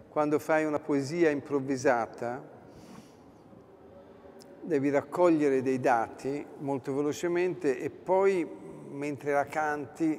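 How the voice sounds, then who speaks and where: Light background noise sits behind a man with a fairly high pitch. He talks very slowly with fairly even intonation. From Tuscany, Florence. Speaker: singer-songwriter and cabaret performer. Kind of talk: interview answer. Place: hall.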